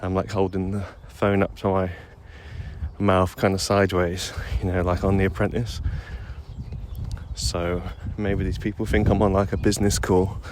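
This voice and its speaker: Over noticeable background noise, a man with a very deep, low pitch and fairly even intonation speaks with long, frequent pauses. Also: moderate pace. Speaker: rollerblading vlogger. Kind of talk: casual voice memo monologue. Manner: hesitant, many fillers; quiet at the start, getting louder.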